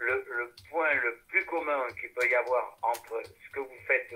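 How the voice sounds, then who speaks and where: A man speaks at a very slow pace. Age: 80s+. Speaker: musician and singer. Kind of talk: casual interview chat. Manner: halting, many repetitions.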